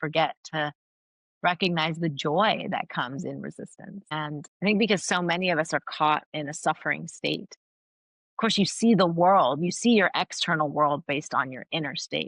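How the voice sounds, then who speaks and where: A woman with an American accent speaks in a very deep, low pitch at a moderate pace with ordinary pitch variation, the sound dry and close with no echo against a quiet background. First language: Farsi. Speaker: academic and author. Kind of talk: interview. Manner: animated.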